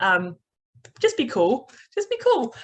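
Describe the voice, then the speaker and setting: A woman with an Australian accent. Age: young. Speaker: birding accessibility advocate. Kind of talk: webinar presentation.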